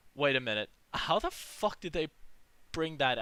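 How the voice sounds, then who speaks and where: A man speaks in a raised, projected voice with a bright, sharp tone at a moderate pace. The recording is very clean, with a silent background. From Australia. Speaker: movie vlogger. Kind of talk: casual monologue. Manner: halting; animated.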